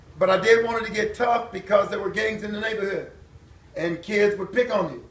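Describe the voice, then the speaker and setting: Over noticeable background noise and audible room echo, a man speaks at a moderate pace and a high pitch. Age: 60s. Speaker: former pro football player and preacher. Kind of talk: testimony. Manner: casual, conversational.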